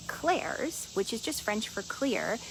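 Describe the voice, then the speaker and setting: Over noticeable background noise, a woman speaks in an animated tone at a fairly high pitch with very wide pitch swings. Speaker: energy and intuition coach, show host. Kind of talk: casual teaching talk to live audience. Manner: fast.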